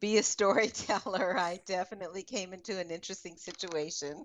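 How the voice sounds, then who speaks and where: A woman's normal speaking voice at medium pitch, with fairly even intonation. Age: 60s. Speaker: author. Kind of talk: interview, personal story.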